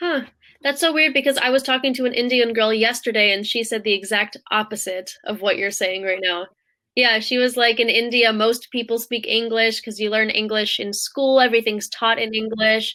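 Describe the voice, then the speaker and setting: In an American accent, a woman talks at a moderate pace. She has an ordinary speaking voice, fairly high in pitch, with fairly even intonation. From Africa, American by birth. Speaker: online English tutor. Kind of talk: casual chat.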